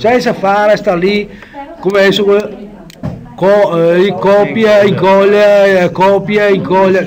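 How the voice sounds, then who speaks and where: A man speaks in a Venetian accent. Noticeable background noise sits behind him. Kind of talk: casual software tutorial.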